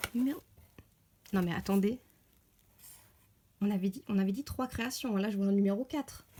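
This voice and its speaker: A somewhat breathy voice with a dark, mellow tone speaks at a moderate pace. Its pitch varies in an ordinary way, with long, frequent pauses. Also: woman, medium pitch for a woman. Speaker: polymer clay sculptor. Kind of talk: casual talk to camera, unboxing. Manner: frequent squeals of delight.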